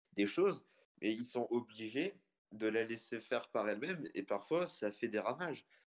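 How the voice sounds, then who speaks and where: A man with an ordinary speaking voice talks at a fairly slow pace with ordinary pitch variation. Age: young. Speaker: software developer. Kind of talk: casual online panel discussion.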